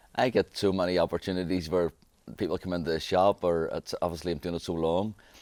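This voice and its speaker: On a very clean recording with a silent background and a dry, close sound with no echo, a man with a Belfast accent speaks very fast in a very deep, low, monotone, flat voice. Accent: Belfast Northern Irish. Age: 40s. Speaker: barber. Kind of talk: interview. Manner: halting.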